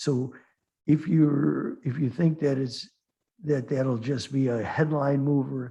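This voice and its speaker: A man talks very slowly in a fairly high, somewhat breathy voice with a dark, mellow tone. His intonation stays fairly even. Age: 60s. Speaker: futures trader and market commentator. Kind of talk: trading webinar Q&A. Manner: halting, many restarts and fillers.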